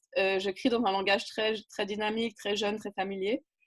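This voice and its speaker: At a moderate pace, a woman speaks with a fairly high pitch. The background is quiet. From French-speaking region. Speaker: writer and community builder. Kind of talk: interview. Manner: animated.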